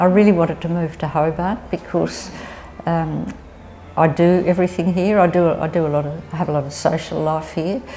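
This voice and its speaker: A woman talks at a moderate pace in a fairly low pitch. Her intonation stays fairly even against noticeable background noise. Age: 70s. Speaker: older woman facing housing insecurity. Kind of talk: personal testimony.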